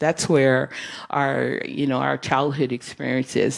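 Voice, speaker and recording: Speaking at a fairly slow pace, a woman has a very deep, low pitch and fairly even intonation. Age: 60s. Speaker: guest speaker at church. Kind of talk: sermon-style talk.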